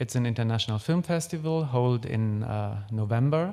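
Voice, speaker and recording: A man with a German accent speaks at medium pitch and a moderate pace, with ordinary pitch variation, on a very clean recording with a silent background. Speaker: film critic. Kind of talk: lecture. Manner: hesitant, many fillers.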